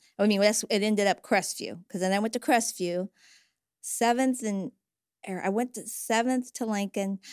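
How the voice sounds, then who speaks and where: Recorded very cleanly against a silent background, with a dry, close sound and no echo, a woman in an unremarkable speaking voice talks at a moderate pace with fairly high pitch and fairly even intonation. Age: 60s. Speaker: church member and retired caseworker. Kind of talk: casual chat. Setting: studio.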